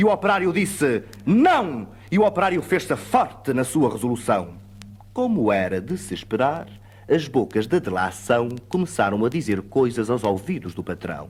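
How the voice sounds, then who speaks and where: Music plays behind a man speaking at a moderate pace with a European Portuguese accent. His pitch sits in the medium range and swings very widely. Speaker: actor, poetry reciter. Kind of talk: poetry reading.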